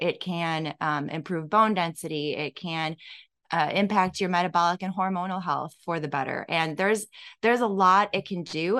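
A woman with an American accent and an ordinary speaking voice, fairly low in pitch, with ordinary pitch variation at a moderate pace. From Illinois. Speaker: fitness franchise owner, former teacher. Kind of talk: casual interview.

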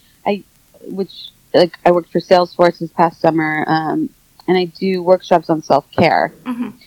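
A woman speaks in a normal speaking voice. Her pitch is fairly low, and her pace is moderate. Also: ordinary pitch variation, dry, close sound with no echo. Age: 40s. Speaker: wellness and addiction specialist, author. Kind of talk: interview. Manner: filler-heavy (um, like, you know).

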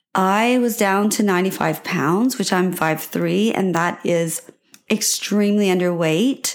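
A woman talks at a fairly slow pace in a plain, everyday voice. Her loudness stays very even, and her pitch varies in an ordinary way. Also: medium pitch for a woman. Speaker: podcast host. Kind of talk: solo podcast monologue, personal story. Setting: home recording with microphone. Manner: warm, encouraging, conversational.

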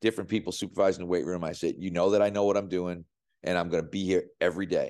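A man talks very fast in a flat, monotone way. His very deep, low voice has a dark, mellow tone against a quiet background. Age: 60s. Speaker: strength coach. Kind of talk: interview.

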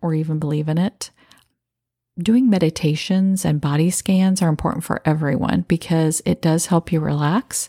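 In a dry, close sound with no echo, a woman with a very deep, low pitch speaks at a moderate pace in a calm, soothing tone with ordinary pitch variation. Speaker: podcast host. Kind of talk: guided meditation.

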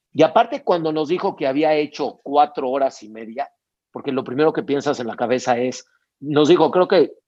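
This man has a plain, everyday voice at a fairly high pitch. He talks at a moderate pace against a quiet background. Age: 50s. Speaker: sports event entrepreneur. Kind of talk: interview.

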